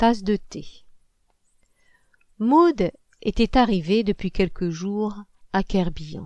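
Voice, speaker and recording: Speaking at medium pitch and a very slow pace, a woman uses lively intonation and leaves long, frequent pauses. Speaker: novelist reading own book. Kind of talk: audiobook narration.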